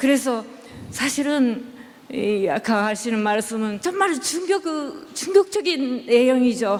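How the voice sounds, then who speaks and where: Over noticeable background noise, a woman with a non-native accent talks at a very slow pace in a high pitch with very wide pitch swings. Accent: non-native Korean pronunciation. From Japan. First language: Japanese (speaking Korean). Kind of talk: religious discussion. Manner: halting.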